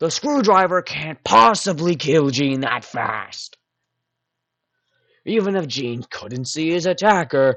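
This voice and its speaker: A man puts on a character voice with lively intonation and a fairly high pitch. He goes at a fairly slow pace with long, frequent pauses. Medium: audio drama. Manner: argumentative.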